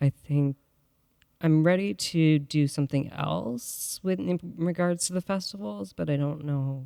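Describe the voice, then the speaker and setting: Fairly slow speech with an Canadian accent, a dark, mellow tone and lively intonation, in a dry, close sound with no echo. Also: man, fairly high pitch for a man. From Canada, Ottawa area. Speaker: photographer. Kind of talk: interview. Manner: halting.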